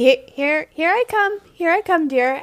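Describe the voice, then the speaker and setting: A woman puts on a squeaky character voice at an extremely high pitch. She speaks at a fairly slow pace with very wide pitch swings. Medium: actual play.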